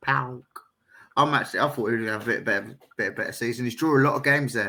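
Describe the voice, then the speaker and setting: A man's very fast delivery at medium pitch, bright and sharp in tone, with fairly even intonation. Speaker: podcast co-host. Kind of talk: casual chat.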